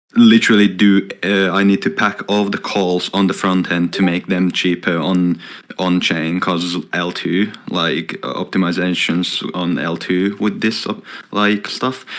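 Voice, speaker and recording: A man with a Finnish accent speaks with a very deep, low pitch. His pace is fairly slow, and noticeable background noise is present. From Finland. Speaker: software developer. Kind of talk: casual chat. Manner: lively.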